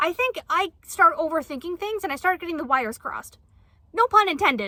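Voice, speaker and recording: An extremely high-pitched woman's voice, raised and projected, bright and sharp in tone, with very wide pitch swings and a fairly quick pace. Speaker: book reviewer. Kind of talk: casual chat. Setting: outdoors, camping in converted van. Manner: stuttering, self-correcting.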